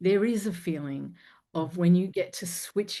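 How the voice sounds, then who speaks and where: With an Australian accent, a woman speaks in a fairly low pitch and a dark, mellow tone. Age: 50s. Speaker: confidence coach and singer. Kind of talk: interview podcast conversation.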